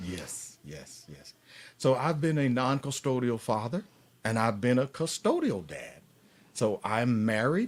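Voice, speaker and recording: The speaker has a Southern US accent and lively intonation at a fairly slow pace. The recording is very clean, with a silent background. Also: man, medium pitch for a man. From US South, Atlanta, Georgia. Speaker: paternity fraud advocate and author. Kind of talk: live stream interview.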